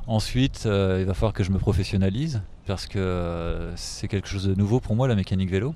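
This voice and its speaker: The tone here is dark and mellow. The speech moves at a fairly quick pace. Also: man, fairly low pitch for a man, ordinary pitch variation. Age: 30s. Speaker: hotel sales rep retraining as bike mechanic. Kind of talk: interview. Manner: hesitant, many fillers.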